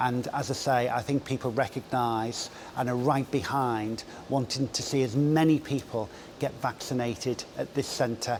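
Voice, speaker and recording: Moderate pace and fairly even intonation from a man at medium pitch, with noticeable background noise. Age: 60s. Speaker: public health director. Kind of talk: interview.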